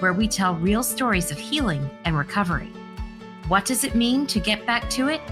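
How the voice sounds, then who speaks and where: Backed by music, a woman speaks with lively intonation and very even loudness. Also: medium pitch for a woman, moderate pace. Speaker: podcast host, foundation CEO. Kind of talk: podcast interview.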